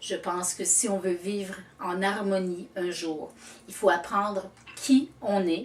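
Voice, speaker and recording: Noticeable background noise accompanies a woman speaking at a very slow pace with a medium pitch in a Quebec accent. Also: ordinary pitch variation. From Quebec, Canada. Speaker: storyteller. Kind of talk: interview answer.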